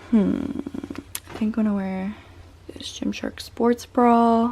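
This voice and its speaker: Through noticeable background noise, a woman talks at a very slow pace with fairly even intonation. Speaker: fitness content creator. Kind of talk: casual vlog narration. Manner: talking quietly.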